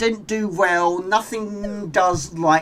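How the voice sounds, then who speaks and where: A man speaks with a British accent. His pitch is high. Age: 40s. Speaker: gaming live streamer. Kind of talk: live gameplay commentary. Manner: fast.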